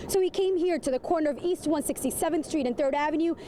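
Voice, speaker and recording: A high-pitched woman's voice with ordinary pitch variation over noticeable background noise. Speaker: TV news reporter. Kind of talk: TV news reporter stand-up and package narration.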